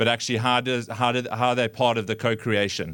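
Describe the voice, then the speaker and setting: Speaking in a South African accent, a man goes at a very fast pace with fairly even intonation and a medium pitch. The recording is very clean, with a silent background. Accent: South African twang. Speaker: community charity worker, former drama teacher. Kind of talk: public talk. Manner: halting, many fillers and repetitions.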